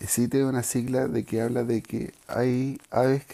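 In a Chilean accent, a man speaks at a fairly slow pace with a dark, mellow tone. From Chile, Santiago area. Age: 40s. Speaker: bird breeder podcaster. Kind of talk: casual monologue.

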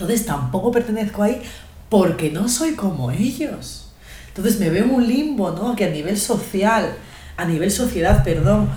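A woman with a Spanish accent talks with lively intonation, and the clip has audible room echo and noticeable background noise. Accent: Spanish, fully. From Spain, Guadalajara. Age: young. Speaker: podcast co-host. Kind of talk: casual chat.

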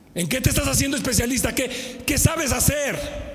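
A man is heard with audible echo from the room and noticeable noise in the background. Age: 50s. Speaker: pastor. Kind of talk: sermon. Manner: animated.

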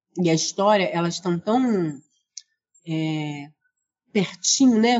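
Here a woman speaks at medium pitch. Her pace is fairly slow. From Rio de Janeiro, Brazil. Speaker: librarian and researcher. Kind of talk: interview.

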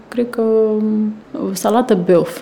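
Noticeable background noise fills the clip. Through it comes the voice of a woman. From Romania, small town in a wine region. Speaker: PR and marketing manager. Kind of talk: casual interview.

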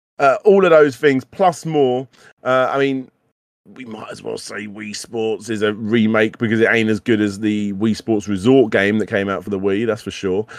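The speaker is a man with a British accent and a fairly low pitch with ordinary variation. He talks at a moderate pace, with big swings in loudness. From UK. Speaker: retro gaming podcast host. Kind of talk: casual chat. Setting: live stream studio. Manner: animated, stammering repetitions.

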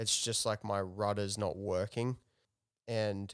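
Recorded very cleanly with a silent background and a dry, close sound free of echo, a man talks in a fairly low pitch with monotone, flat intonation. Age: 30s. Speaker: host's partner. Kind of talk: casual chat. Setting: home living room.

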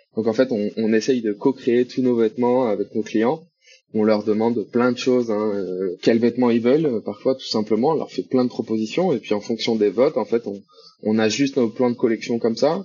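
With fairly even intonation, a man talks at a moderate speed and a medium pitch. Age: 20s. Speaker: e-commerce CRM manager. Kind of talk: casual interview chat. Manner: hesitant, many fillers.

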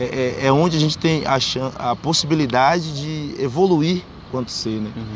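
Moderate pace and ordinary pitch variation, over noticeable background noise. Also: man, fairly high pitch for a man. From Bahia, Brazil (raised in Salvador). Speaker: street writer and poet. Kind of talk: interview.

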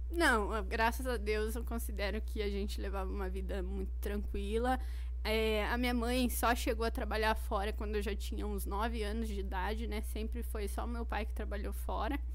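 A woman talks in a very deep, low pitch with a monotone, flat delivery at a moderate pace. She hardly pauses, and the room echo is audible. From Paraná, Brazil (Curitiba area). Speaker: Portuguese teacher. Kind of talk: casual interview.

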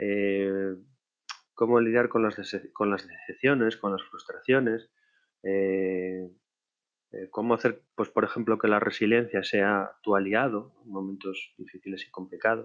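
Fairly low male voice at a fairly slow pace, with big swings in loudness. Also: fairly even intonation. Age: 40s. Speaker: podcaster, online marketer. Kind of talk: personal monologue podcast. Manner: halting, many fillers.

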